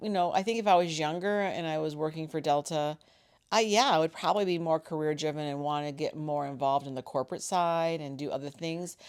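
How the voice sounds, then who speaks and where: In an unremarkable speaking voice, the speaker moves at a fairly quick pace with lively intonation. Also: woman. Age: 50s. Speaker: mother of the co-host, flight attendant. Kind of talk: casual chat.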